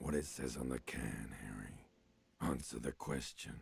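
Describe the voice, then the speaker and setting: A man puts on a character voice, very deep, low and raspy. He speaks at a fairly slow pace. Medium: video game. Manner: probing, intimate, insistent.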